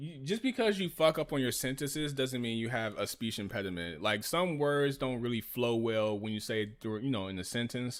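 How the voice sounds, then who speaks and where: Lively in intonation, a man talks at a fairly quick pace in a medium pitch, with hardly any pauses. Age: 30s. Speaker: streamer reacting to video. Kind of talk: casual commentary. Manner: animated.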